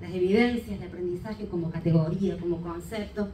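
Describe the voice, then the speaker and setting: Amid noticeable background noise and audible room echo, a woman talks at a fairly quick pace. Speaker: education researcher. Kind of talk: conference talk. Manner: fast.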